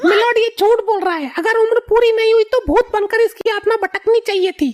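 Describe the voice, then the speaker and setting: Speaking in a cartoonish character voice, a woman uses an extremely high pitch. Her pace is fairly quick. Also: dry, close sound with no echo. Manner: sharp, indignant.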